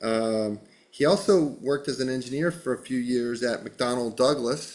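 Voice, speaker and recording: An ordinary speaking voice: a man with an American accent, medium pitch, ordinary pitch variation and a moderate pace. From western Massachusetts. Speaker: podcast host. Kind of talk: casual interview.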